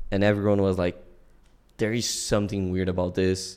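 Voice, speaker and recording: Against a quiet background, a man with a Portuguese accent speaks in a very deep, low pitch, his tone dark and mellow and his intonation monotone and flat. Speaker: self-taught programmer and streamer. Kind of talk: casual interview chat. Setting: remote call.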